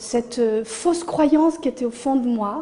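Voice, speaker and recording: A woman talks with ordinary variation in her pitch. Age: 60s. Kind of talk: testimony. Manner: hesitant, frequent fillers.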